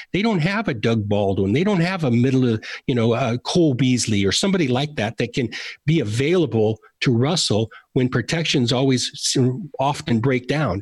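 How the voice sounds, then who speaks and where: This man has a medium-pitched, somewhat breathy voice with lively intonation and very even loudness, talking at a moderate pace. The recording is very clean, with a silent background. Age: 50s. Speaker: former football executive. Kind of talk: interview.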